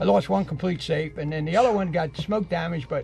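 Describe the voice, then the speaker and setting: Music plays in the background. A man talks very fast in a fairly high voice. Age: 70s. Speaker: deer hunter. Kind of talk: casual podcast chat. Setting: podcast recording.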